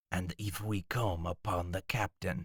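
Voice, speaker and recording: A man uses a put-on character voice with a very deep, low pitch. He speaks at a moderate pace in a dry, close sound with no echo. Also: ordinary pitch variation. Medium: read story. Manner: blunt.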